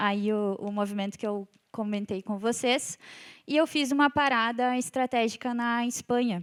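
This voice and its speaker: A woman's fairly high-pitched voice with a southern Brazilian accent, dry and close with no echo, on a very clean recording with a silent background. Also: ordinary pitch variation, moderate pace. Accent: gaúcho Brazilian Portuguese. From southern Brazil (Rio Grande do Sul). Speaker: civil engineer and company executive. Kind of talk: conference talk. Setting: stage with audience.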